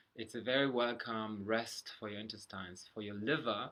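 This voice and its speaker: This man talks at a fairly quick pace in a bright, sharp tone. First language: German. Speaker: health vlogger. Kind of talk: casual talk to camera. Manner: halting.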